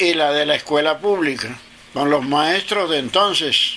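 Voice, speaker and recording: Fairly high male voice against noticeable background noise. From Caribbean coast of Colombia, Sabanalarga (Atlántico). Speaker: interviewee recounting his life. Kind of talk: interview. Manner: halting.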